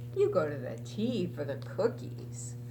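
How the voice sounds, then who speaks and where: A put-on character voice at a low-to-middle pitch moves at a moderate pace over loud background noise. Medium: read story.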